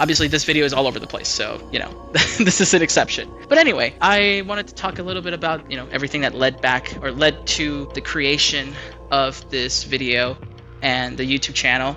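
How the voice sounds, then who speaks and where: Music plays in the background as a man speaks at a fairly quick pace. His pitch is fairly high, with ordinary variation. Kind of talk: casual talk to camera, unscripted rant. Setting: home mic, lower quality audio. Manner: occasional stammering.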